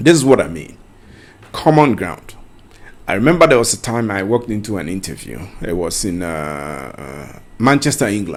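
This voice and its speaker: A man with a Ghanaian accent and fairly low pitch, very wide pitch swings, big swings in loudness and a moderate pace. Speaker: career coach. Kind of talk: tutorial. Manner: conversational.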